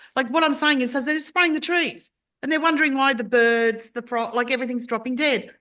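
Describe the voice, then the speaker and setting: With an Australian accent, a woman speaks high, fast-ish and raised, her voice projected and bright, sharp in tone. She sounds animated, with ordinary pitch variation and fairly quick pacing over a quiet background. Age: 60s. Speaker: podcast host. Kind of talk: casual chat.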